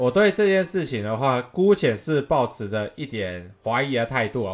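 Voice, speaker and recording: A man of medium pitch speaks at a fairly slow pace, his voice making very wide pitch swings. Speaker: baseball podcast host. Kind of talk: casual solo commentary. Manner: halting, frequent repetitions.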